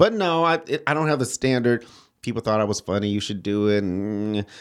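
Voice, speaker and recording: An ordinary speaking voice: a man with an American accent, fairly low pitch, lively intonation and a fairly quick pace, on a very clean recording with a silent background. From Detroit, Michigan. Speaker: comedian. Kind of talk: casual chat. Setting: studio.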